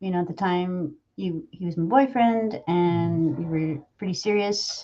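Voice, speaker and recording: Fairly slow speech with ordinary pitch variation, in an American accent. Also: woman, fairly low pitch for a woman. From Michigan, Saginaw area. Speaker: voice actor and podcast host. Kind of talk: casual chat.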